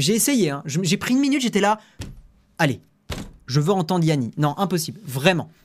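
A high-pitched man makes very wide pitch swings and takes long, frequent pauses while keeping his loudness very even. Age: 20s. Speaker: tech news streamer. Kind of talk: live stream chat with viewers. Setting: live stream. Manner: casual, hesitant with many fillers.

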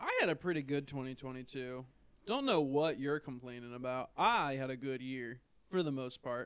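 With an unremarkable speaking voice, a man talks at medium pitch and a moderate pace with fairly even intonation. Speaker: podcast co-host. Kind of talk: casual chat.

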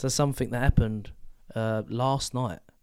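A man speaks with a British accent. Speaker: podcast co-host. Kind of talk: casual chat.

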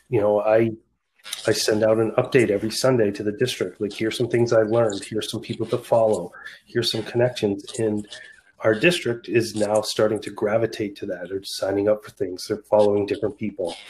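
A somewhat breathy man with an American accent, fairly low in pitch, at a fairly quick pace. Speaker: school district administrator. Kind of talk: podcast interview.

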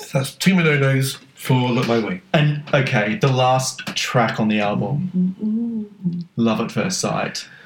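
A man with an Australian accent speaks at a very slow pace with hardly any pauses. His pitch swings very widely over noticeable background noise. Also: medium pitch for a man. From Australia, North Queensland. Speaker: podcast co-host. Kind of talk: casual chat.

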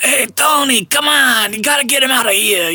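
In a put-on character voice, the speaker uses a high, raspy pitch at a moderate pace.

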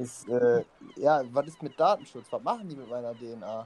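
Medium pitch and ordinary pitch variation from a male speaker. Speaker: podcast co-host. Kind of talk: casual chat.

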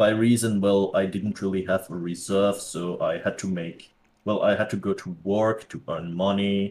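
A man's fairly low voice at a fairly slow pace. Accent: Dutch. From Netherlands. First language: Dutch. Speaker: crypto educator. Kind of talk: interview. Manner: halting.

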